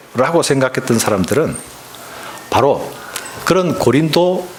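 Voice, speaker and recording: Noticeable background noise sits behind a man's voice. He speaks fairly slowly at a fairly high pitch. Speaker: pastor. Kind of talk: sermon.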